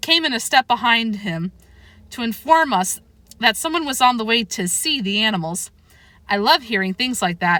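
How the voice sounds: What we hear is a natural reading voice.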